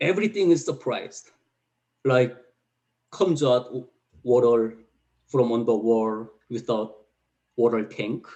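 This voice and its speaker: With a Korean accent and a dark, mellow tone, a man speaks at a fairly slow pace, with ordinary pitch variation and long, frequent pauses. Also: medium pitch for a man. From North Korea. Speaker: North Korean defector. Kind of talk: testimony. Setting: video call. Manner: halting.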